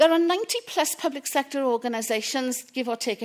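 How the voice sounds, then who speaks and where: Here a woman speaks in a Welsh accent. Her pace is fairly quick. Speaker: public procurement specialist. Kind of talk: conference talk.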